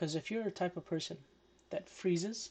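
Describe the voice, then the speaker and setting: The speaker mumbles at a fairly quick pace. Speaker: day trader. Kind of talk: tutorial. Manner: mumbling.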